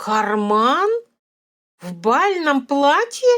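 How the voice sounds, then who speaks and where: A woman uses a put-on character voice at a high pitch with very wide pitch swings. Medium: read story. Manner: curt, skeptical.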